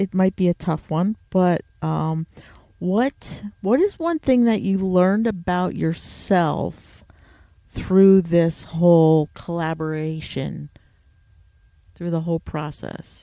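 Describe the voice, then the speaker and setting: A woman at medium pitch with a northeastern American accent, very slow pace, ordinary pitch variation, and dry, close sound with no echo. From US Northeast. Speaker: podcast host. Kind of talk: casual interview.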